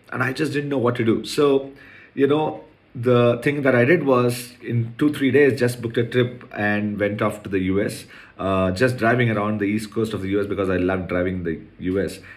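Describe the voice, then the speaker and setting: In a room with audible echo, a man talks at a moderate pace, his medium pitch showing ordinary variation. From India, Chennai. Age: 40s. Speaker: podcast host, entrepreneur. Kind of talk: personal monologue podcast.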